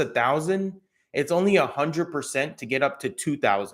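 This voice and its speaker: Speaking at a moderate pace with ordinary pitch variation, a man is heard on a very clean recording with a silent background. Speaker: crypto YouTuber. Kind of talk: live stream commentary. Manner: casual, relaxed; occasional stumbling over words.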